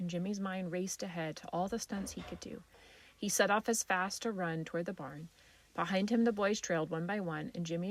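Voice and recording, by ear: This is reading aloud. The voice is natural.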